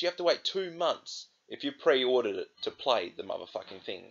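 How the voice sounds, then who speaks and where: Over a quiet background, a man with an Australian accent talks at a fairly quick pace. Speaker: gaming vlogger. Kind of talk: angry rant; vlog monologue to camera. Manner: angry, swearing, exasperated; repetitive, hesitant with fillers. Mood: angry, frustrated. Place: home room. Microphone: webcam.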